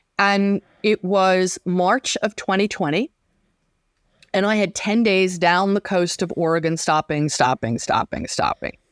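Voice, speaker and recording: In an ordinary speaking voice, a woman speaks fairly slowly at a medium pitch with ordinary pitch variation and very even loudness, the sound dry and close with no echo. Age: 60s. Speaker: weaving and sewing teacher. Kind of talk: interview.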